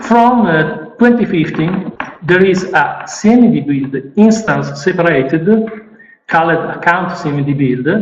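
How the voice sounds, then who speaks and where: Lively intonation and an Italian accent mark this fairly slow delivery, heard with audible room echo. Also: man. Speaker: IT specialist. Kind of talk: conference presentation. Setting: stage with audience. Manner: halting.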